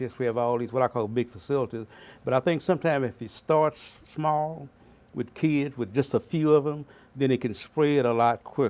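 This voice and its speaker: With a Southern US accent, a man talks at a fairly quick pace in a medium pitch with ordinary pitch variation, on a very clean recording with a silent background. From Arkansas, Fort Smith. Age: 70s. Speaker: pastor and community mentor. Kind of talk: interview.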